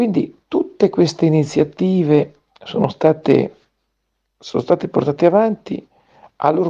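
A man speaks at a fairly slow pace. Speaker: lawyer. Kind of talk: radio commentary. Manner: formal.

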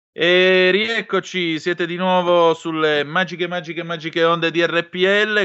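Pitched high for a man, this speaker talks at a very slow pace in a theatrical tone. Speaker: radio host. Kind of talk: radio talk show hosting; news reading. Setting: radio studio.

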